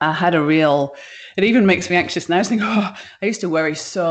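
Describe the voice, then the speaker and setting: Speaking at a fairly quick pace, a woman with a British accent uses lively intonation and a fairly low pitch. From UK. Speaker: business founder. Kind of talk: interview. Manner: casual, hesitant with many fillers.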